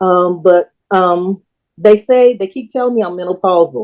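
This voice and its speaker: Her tone dark and mellow, a woman speaks at a moderate pace with a fairly low pitch. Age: 60s. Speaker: audience member. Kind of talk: question from audience.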